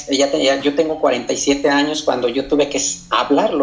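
A man talks while noticeable noise carries on in the background. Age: 40s. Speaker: community activist. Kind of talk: interview. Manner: halting.

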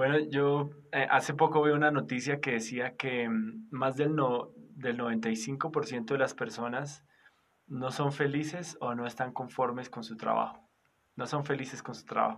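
A man with a normal speaking voice talks at a fairly slow pace, his medium pitch moving in fairly even intonation. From Colombia, Boyacá. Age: 30s. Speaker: pastor. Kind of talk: interview. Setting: recorded at night.

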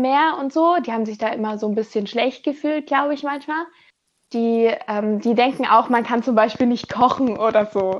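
A woman talks at a moderate pace in an ordinary speaking voice, her pitch fairly high. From Germany. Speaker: former volunteer teacher abroad. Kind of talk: interview. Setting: remote recording from home.

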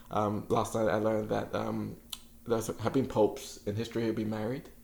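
A man's fairly low, monotone, flat voice with vocal fry, in audible room echo. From England, London (a year in Nigeria as a child). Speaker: writer. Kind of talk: casual interview. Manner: halting.

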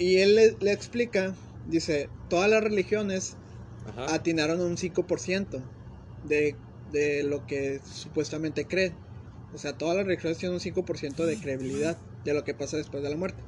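A man keeps a moderate pace and ordinary pitch variation as he talks. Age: 20s. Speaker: podcast co-host. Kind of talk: casual chat.

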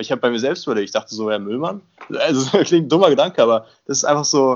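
Talking at a very fast pace, a man with a fairly high pitch uses lively intonation. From Brandenburg village south of Berlin. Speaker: university student. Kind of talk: casual chat.

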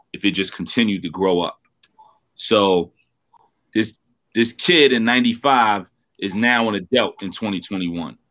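Speaking very slowly with long, frequent pauses, a man uses a New York accent. His pitch is fairly low with ordinary variation. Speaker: rapper. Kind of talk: interview. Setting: video call.

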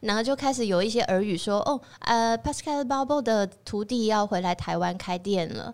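A woman in a normal speaking voice at a fairly high pitch and a moderate pace, with ordinary pitch variation and hardly any pauses, in a very clean recording with a silent background. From Taiwan. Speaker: chef and restaurant owner. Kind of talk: casual interview chat.

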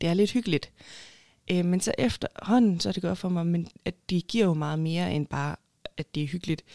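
A woman speaks at a moderate pace with a dark, mellow tone and a fairly low pitch. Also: ordinary pitch variation, dry, close sound with no echo. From Denmark, Haderslev (Southern Jutland). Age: 20s. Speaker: urban planner and award winner. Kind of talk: interview.

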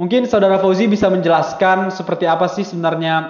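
Talking at a very fast pace with fairly even intonation, a man is heard with audible room echo. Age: 20s. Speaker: university student. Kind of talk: student discussion podcast. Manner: hesitant with many fillers.

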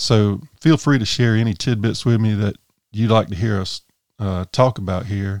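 A man with a Southern US accent and ordinary pitch variation, dry and close with no echo, on a very clean recording with a silent background. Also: fairly low pitch for a man, moderate pace. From US South, South Carolina (Sumter County). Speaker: outdoors podcast host. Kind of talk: solo podcast monologue. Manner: casual, with frequent fillers.

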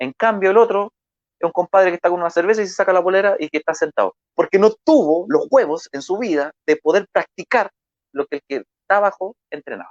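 An energetic tone at a fairly quick pace, with ordinary pitch variation and a dry, close sound with no echo. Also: man, high pitch for a man. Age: 30s. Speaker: marketing speaker. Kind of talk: motivational talk.

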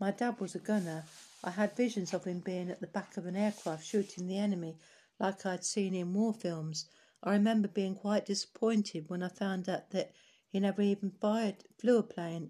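A woman's dark, mellow voice with a London accent, somewhat breathy, at a moderate pace against a quiet background. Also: medium pitch for a woman. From East London (Hackney). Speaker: oral history narrator, care charity founder. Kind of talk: reading aloud. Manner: halting, with self-corrections.

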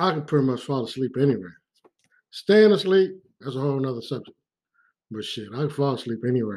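With lively intonation, a man talks at a medium pitch. His pace is fairly quick, yet he leaves long, frequent pauses. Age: 40s. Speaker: podcast host, former police officer. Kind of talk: casual monologue. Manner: casual, conversational.

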